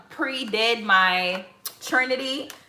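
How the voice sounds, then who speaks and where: A woman with an American accent speaks at a fairly high pitch with lively intonation, and room echo is audible. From Mississippi, Biloxi. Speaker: lifestyle vlogger. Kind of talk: casual cooking vlog.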